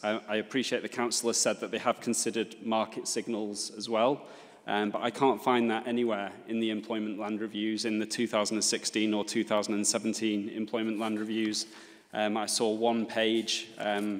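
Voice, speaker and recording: This man's voice sits fairly low. Its intonation stays monotone and flat. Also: moderate pace, quiet background. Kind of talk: formal hearing submission. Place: meeting room. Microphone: podium.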